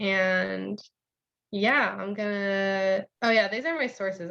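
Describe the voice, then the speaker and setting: A woman is speaking. Her pitch is medium. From California. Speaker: graduate student presenter. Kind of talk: presentation.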